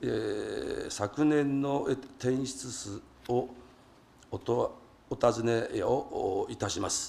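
A man talking at a very slow pace. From Japan. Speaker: city council member. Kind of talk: council general question. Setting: council chamber. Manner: halting with many fillers; formal. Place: hall. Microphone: podium.

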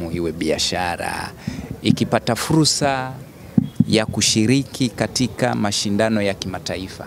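Very slow and fairly low in pitch, a man's voice comes through dry, with no echo. Light background noise can be heard. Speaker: sports club spokesman. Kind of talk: interview answer. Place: street. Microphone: handheld.

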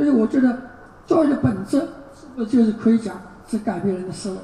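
Noticeable background noise runs behind the recording. A woman speaks with lively intonation. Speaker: university professor giving a keynote. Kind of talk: lecture. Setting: conference stage with audience. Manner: halting, fillers.

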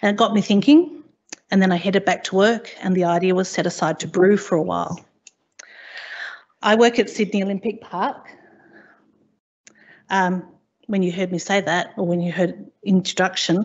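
At a moderate pace, a woman speaks with ordinary pitch variation and long, frequent pauses. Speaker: conference presenter. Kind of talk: conference presentation. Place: hall.

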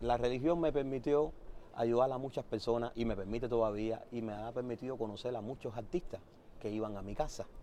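A man in a Havana Cuban accent, medium-pitched and dark, mellow in tone, at a fairly quick pace, the sound dry with no echo and light background noise. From Cuba, Havana (Centro Habana). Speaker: musician. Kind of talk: interview. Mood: warm, reminiscing. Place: street.

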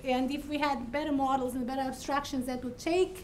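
A woman's high-pitched voice against light background noise. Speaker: faculty host introducing speaker. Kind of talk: speaker introduction. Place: hall.

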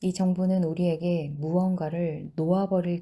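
Her pitch sits fairly low for a woman. She talks at a moderate pace. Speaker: book reading channel host. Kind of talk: reading aloud.

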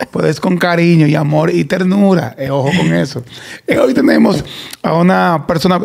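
This man speaks with a high pitch. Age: 40s. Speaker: podcast host. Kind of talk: casual chat. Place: studio. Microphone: studio mic.

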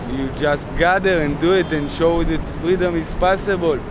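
Noticeable background noise sits behind a man's voice, which has a dry sound with no echo. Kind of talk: interview answer. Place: street. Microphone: phone near.

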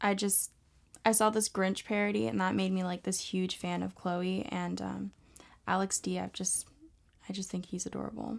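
Speaking with an American accent, a woman keeps a moderate pace. The background is quiet. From Texas. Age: young. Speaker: adult film model; interviewee. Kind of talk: interview answers; interview answer. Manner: hesitant, filler-heavy. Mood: relaxed, casual. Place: home room.

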